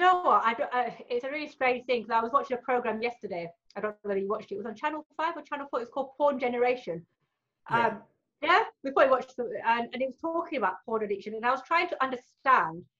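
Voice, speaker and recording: This woman's voice is high, with a bright, sharp tone. She talks very fast, her intonation lively. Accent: British. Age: 40s. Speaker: adult film performer. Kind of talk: casual interview chat.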